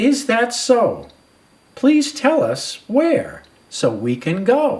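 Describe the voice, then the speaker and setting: In a put-on character voice, high-pitched and cheerful in tone, someone speaks at a very slow pace. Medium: read story. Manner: cheerful, polite.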